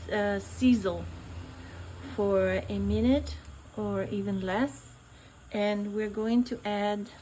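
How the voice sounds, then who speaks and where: A woman with an Italian accent talks at a very slow pace. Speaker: cooking channel host. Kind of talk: cooking tutorial. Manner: relaxed, conversational.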